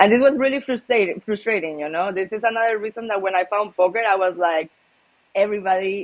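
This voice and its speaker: A woman's medium-pitched voice comes through in a Spanish accent. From Spain, Malaga. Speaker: professional poker player. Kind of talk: casual interview. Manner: casual, many filler words.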